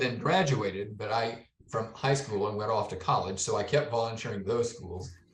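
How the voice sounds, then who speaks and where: Somewhat breathy, a man's voice moves with ordinary pitch variation. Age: 70s. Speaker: retired software developer. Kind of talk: interview answer.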